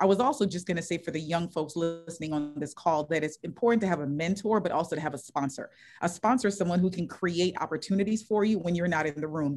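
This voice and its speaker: A woman with an American accent talks very fast at a fairly low pitch, with ordinary pitch variation. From US Virgin Islands. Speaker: sports executive panelist. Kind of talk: panel discussion. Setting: video call.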